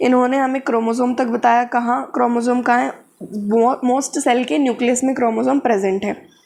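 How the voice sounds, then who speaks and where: A woman speaks at a high pitch with fairly even intonation. Her loudness is very even. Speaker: biology tutor. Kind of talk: lecture. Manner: casual, code-switching Hindi-English.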